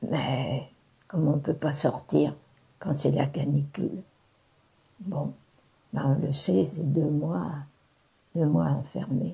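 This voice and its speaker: A woman with a very deep, low pitch, vocal fry and a dark, mellow tone speaks at a very slow pace with lively intonation and long, frequent pauses. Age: 80s+. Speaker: retiree. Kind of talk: interview testimony.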